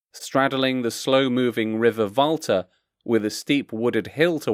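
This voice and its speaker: A man with an unremarkable speaking voice talks at a moderate pace with ordinary pitch variation. The recording is very clean and dry, close with no echo, with a silent background. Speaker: voice actor. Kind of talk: factual travel narration.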